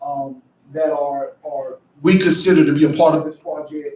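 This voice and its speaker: A man speaks at a fairly slow pace. He has an American accent. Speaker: county commissioner. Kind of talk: public meeting presentation. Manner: loud. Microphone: faulty mic cutting in and out.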